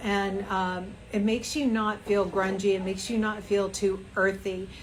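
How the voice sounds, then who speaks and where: At a fairly slow pace, a woman talks in an unremarkable speaking voice with medium pitch. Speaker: fashion brand founder. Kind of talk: live fashion tutorial. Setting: Instagram live stream.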